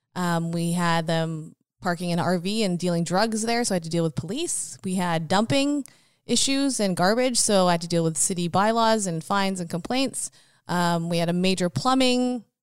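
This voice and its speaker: An ordinary speaking voice from a woman with a Canadian accent, medium in pitch with lively intonation, on a very clean recording with a silent background. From Richmond, British Columbia, Canada. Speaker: real estate agent and former singer-actress. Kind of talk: casual interview. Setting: host's living room.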